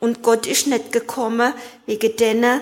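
Fairly high in pitch, a woman talks at a fairly slow pace. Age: 60s. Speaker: recovering alcoholic. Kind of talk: testimony.

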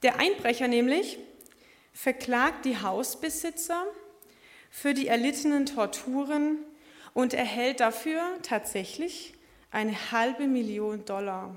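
A woman's high-pitched, lively voice at a very slow pace, broken by long, frequent pauses. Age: 20s. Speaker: lay preacher. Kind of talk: sermon. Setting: church service.

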